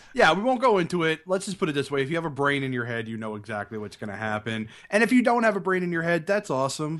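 The voice rushes along at a very fast pace with very wide pitch swings. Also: man, fairly high pitch for a man. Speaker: film podcast co-host. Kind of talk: casual chat.

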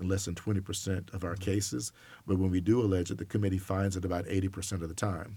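With an American accent, a man talks very fast in a very deep, low voice that is somewhat breathy and dark and mellow in tone, his intonation fairly even, on a very clean recording with a silent background. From US South, Alabama. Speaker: college sports enforcement director. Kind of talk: interview.

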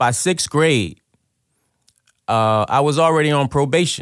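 A man at a moderate pace, with lively intonation, in a very clean recording with a silent background. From Trenton, New Jersey, US; Liberian immigrant parents. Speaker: formerly incarcerated guest. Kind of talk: personal testimony in interview. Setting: radio studio.

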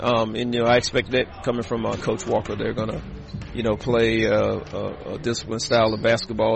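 Over noticeable background noise, a man at a medium pitch talks at a fairly quick pace in a monotone, flat intonation. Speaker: college basketball head coach. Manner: relaxed, hesitant with fillers.

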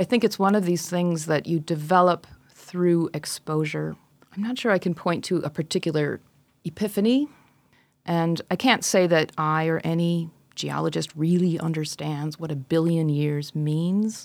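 On a very clean recording with a silent background, a woman with an American accent speaks at a moderate pace with ordinary pitch variation. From rural Wisconsin, US Midwest. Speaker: geology professor. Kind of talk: interview.

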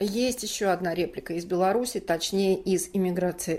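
A woman speaks at a moderate pace in an ordinary speaking voice, her pitch sitting in the medium range. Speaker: podcast host. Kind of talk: scripted narration and hosting.

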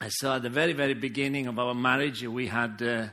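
A man with a strong Italian accent and a bright, sharp tone speaks at a moderate pace. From Sicily, Italy. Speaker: pastor. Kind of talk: sermon. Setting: church.

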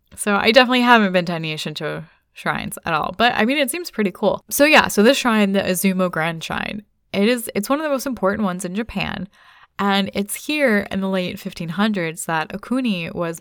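In a very clean recording with a silent background, a woman with an American accent uses a plain, everyday voice at medium pitch, speaking at a fairly quick pace with lively intonation. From United States. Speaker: podcast co-host. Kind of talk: casual chat.

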